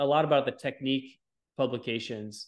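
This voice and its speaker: With ordinary pitch variation and a moderate pace, a normal speaking voice is heard. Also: man. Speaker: orthopedic surgeon. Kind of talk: casual chat.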